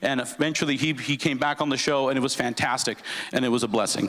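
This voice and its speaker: Speaking at a very fast pace, the man has an American accent. His pitch is fairly high and his intonation fairly even. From Southern California (Los Angeles area). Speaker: sports announcer. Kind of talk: speech to an audience.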